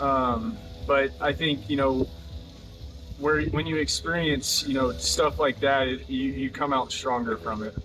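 A man with an American accent, medium pitch and ordinary pitch variation, at a fairly slow pace over background music. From Oklahoma, US. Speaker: professional baseball pitcher. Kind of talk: interview. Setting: at spring training camp.

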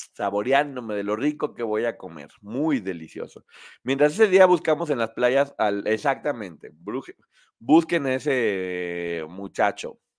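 A man speaks at a fairly slow pace in an animated tone, his pitch swinging very widely, on a very clean recording with a silent background. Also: medium pitch for a man. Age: 50s. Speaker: online show host. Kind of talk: casual chat.

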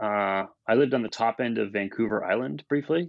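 With a Canadian accent, a man speaks in very wide pitch swings. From Ontario, Canada (Brantford). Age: 40s. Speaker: record label owner. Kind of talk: casual interview. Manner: halting.

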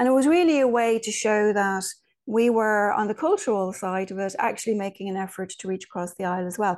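A woman with an Irish accent speaks at a fairly quick pace and a fairly high pitch. Her pitch variation is ordinary, and the background is quiet. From Ireland. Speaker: spiritual medium and author. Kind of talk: interview conversation.

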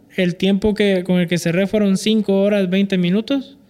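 This man speaks with a high pitch. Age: 30s. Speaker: accountant and amateur runner. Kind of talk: interview.

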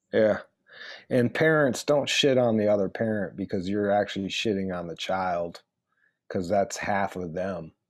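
Recorded very cleanly against a silent background, a man speaks with a Detroit accent. His pitch is fairly low, his pace moderate, and his pitch variation ordinary. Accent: Detroit American. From Metro Detroit, Michigan. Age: 40s. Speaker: radio personality and author. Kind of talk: casual chat.

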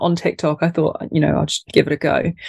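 This woman talks at a fairly quick pace with a British accent, recorded with a dry, close sound and no echo. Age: 30s. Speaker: content creator and small business owner. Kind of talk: casual interview chat. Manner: animated, humorous.

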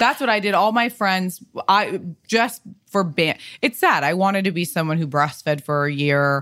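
Recorded very cleanly against a silent background, a woman with an unremarkable speaking voice talks at a medium pitch with lively intonation. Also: moderate pace. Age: 30s. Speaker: stylist and designer, podcaster. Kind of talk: casual chat.

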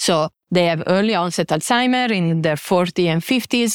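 A woman with a medium pitch, lively intonation and a fairly quick pace in a dry, close, echo-free and very clean recording with a silent background. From Italy. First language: Italian. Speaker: biotech CEO and scientist. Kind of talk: conference talk. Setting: stage with audience.

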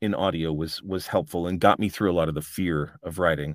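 This man has an American accent. His pace is fairly quick. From US Midwest, Chicago then California as a kid. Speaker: audiobook narrator and author. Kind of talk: interview, casual chat.

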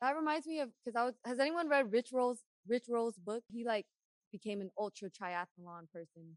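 A woman's ordinary speaking voice, fairly high in pitch, with lively intonation, a moderate pace, and a dry, close sound with no echo. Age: 30s. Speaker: podcast host. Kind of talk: casual podcast interview. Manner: upbeat, friendly.

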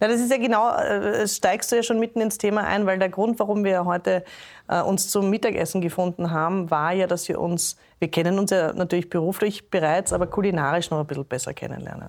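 Very clean recording with a silent background of a woman in an ordinary speaking voice, medium pitch, ordinary pitch variation, and a fairly quick pace. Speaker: podcast host. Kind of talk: casual chat. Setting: restaurant.

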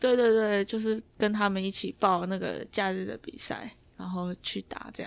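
A woman's medium-pitched voice, a plain, everyday voice, fairly even intonation, moderate pace, big swings in loudness. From Taiwan. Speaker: basketball player. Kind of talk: interview.

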